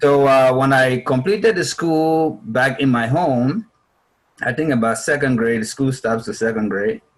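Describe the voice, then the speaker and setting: With a Liberian accent, a man speaks at a fairly slow pace and a medium pitch, his intonation lively. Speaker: refugee speaker. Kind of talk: interview answer. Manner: talkative.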